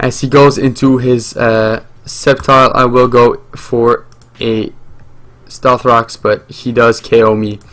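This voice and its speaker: A man speaks at a very slow pace in a medium pitch. His intonation is monotone and flat. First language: French. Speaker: gaming YouTuber. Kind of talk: live gameplay commentary. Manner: hesitant, many fillers.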